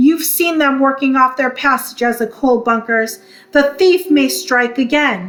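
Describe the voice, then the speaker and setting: In a put-on character voice, a woman goes growling and gruff at a high pitch with lively intonation and a moderate pace. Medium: read story. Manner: gruff, blustering.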